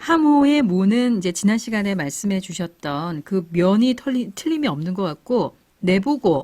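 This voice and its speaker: A woman's somewhat breathy, dark, mellow voice at medium pitch, with very wide pitch swings, a fairly slow pace and hardly any pauses, in a very clean recording with a silent background. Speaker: radio host. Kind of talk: radio program hosting.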